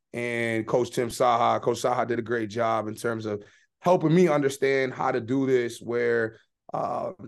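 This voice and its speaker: Moderate pace and fairly even intonation. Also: man. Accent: American. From Boston, Massachusetts. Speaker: football strength and conditioning coach. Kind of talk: interview. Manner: filler-heavy, with frequent hesitations.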